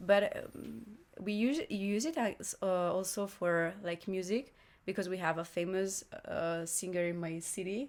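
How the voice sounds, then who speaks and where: A woman with an Italian accent speaks at a fairly slow pace and medium pitch with ordinary pitch variation. The recording is very clean, with a silent background. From northern Italy, Lombardy. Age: 20s. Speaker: exchange student and singer. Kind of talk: casual interview chat. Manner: halting, searching for words.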